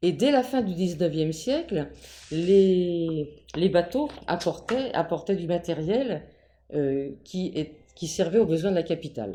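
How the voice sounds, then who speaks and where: Speaking at a very slow pace, a woman with a fairly low pitch uses lively intonation in a dark, mellow tone. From Paris region, France (Ivry-sur-Seine). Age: 80s+. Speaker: local elder interviewed about town history. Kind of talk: interview. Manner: halting, many hesitations.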